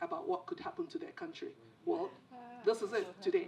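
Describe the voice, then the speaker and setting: A woman speaks at an extremely high pitch. Her pitch swings very widely. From Nigeria. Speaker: panelist, former government minister. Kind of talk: panel discussion. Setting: theater with audience. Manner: halting.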